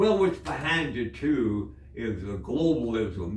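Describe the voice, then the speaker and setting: Pitch swings very widely as this man speaks. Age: 80s+. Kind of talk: casual conversational reminiscence. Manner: rambling, hesitant.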